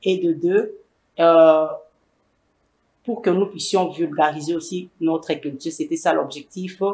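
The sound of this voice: A woman speaks low and fairly slowly, with fairly even intonation. Her tone is slightly mellow with a slightly husky edge.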